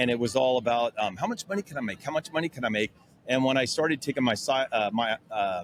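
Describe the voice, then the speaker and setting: A man speaks at a medium pitch with lively intonation and a fairly quick pace. The sound is dry and close, with no echo. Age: 60s. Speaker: sanding tool company owner. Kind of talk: casual interview. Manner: hesitant, many fillers.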